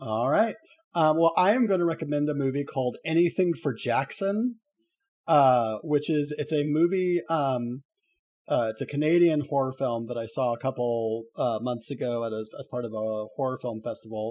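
A plain, everyday voice speaks at a moderate pace with lively intonation on a very clean recording with a silent background. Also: man, fairly high pitch for a man. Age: adult. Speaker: podcast co-host. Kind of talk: casual chat.

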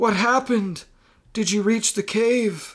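In a put-on character voice, a man speaks at a high pitch and slow pace with ordinary pitch variation and a fairly bright tone.

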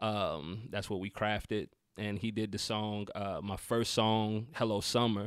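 A man's fairly low voice with a Southern US accent, at a fairly slow pace, in a monotone, flat intonation. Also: very clean recording, silent background. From US South, North Carolina. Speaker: rapper. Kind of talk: casual chat. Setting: studio.

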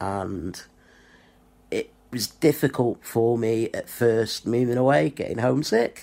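A man's dark, mellow voice with a Lancashire accent, at a medium pitch and fairly slow pace, with ordinary pitch variation and long, frequent pauses. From northwest England (Blackpool). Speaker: YouTuber, wrestling fan. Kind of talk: personal video monologue.

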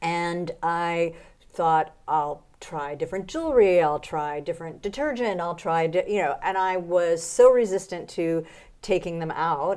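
A woman speaks at a fairly slow pace in a fairly low pitch, with ordinary pitch variation and a plain, everyday voice. The recording is very clean, with a silent background. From United States. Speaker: professional body piercer and author. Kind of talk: interview. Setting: piercing industry conference in Germany.

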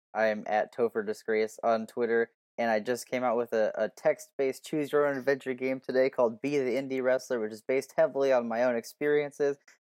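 In a plain, everyday voice, a man speaks at medium pitch and a fairly quick pace, with fairly even intonation and a dry, close sound with no echo. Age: 20s. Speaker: podcast co-host. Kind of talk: casual chat.

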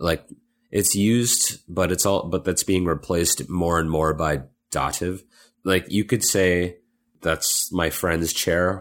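On a very clean recording with a silent background, a man with an American accent speaks very slowly at a very deep, low pitch, with very even loudness and fairly even intonation. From US Midwest, Illinois. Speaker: podcast co-host. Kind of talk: casual chat.

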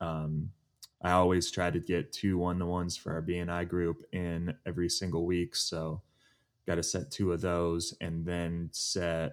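A man speaks at a fairly slow pace in a very deep, low pitch with fairly even intonation, on a very clean recording with a silent background. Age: 20s. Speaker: financial planner. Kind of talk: casual chat. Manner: sounds mature for his age.

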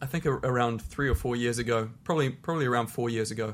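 A man's medium-pitched voice in a New Zealand accent, very fast, with ordinary pitch variation. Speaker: professional tennis player and charity founder. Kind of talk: interview.

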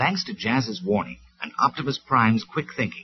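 Natural-voiced reading aloud.

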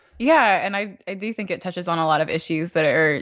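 A woman in a Southern US accent talks at a fairly quick pace. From North Georgia, US South. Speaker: podcast host. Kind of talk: casual chat.

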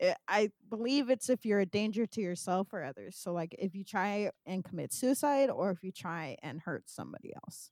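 In an unremarkable speaking voice, a woman with an American accent talks at a moderate pace and medium pitch, her intonation lively, her loudness swinging widely, hardly any pauses breaking it up, all in a dry, close sound with no echo. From California. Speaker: podcast host and filmmaker. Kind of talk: casual interview.

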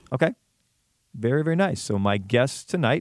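Lively in intonation and moderate in pace, a man with an unremarkable speaking voice comes through in a dry, close sound with no echo. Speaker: radio host. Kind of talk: interview. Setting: studio. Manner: warm and conversational.

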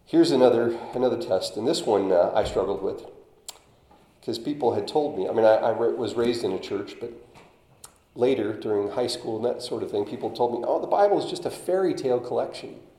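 The room echo is audible. The pace is fairly quick. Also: man. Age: 50s. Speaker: lay preacher. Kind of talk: sermon. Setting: church. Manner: halting.

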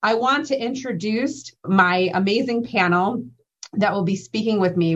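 A woman with an ordinary speaking voice talks at a moderate pace with ordinary pitch variation over a quiet background. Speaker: clinical pharmacist presenter. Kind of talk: educational slide presentation. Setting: virtual conference presentation.

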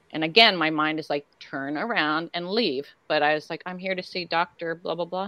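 A woman speaks in a plain, everyday voice at a fairly low pitch and a moderate pace. Her pitch variation is ordinary, and there are hardly any pauses. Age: 60s. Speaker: horror actress guest at conventions. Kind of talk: casual chat.

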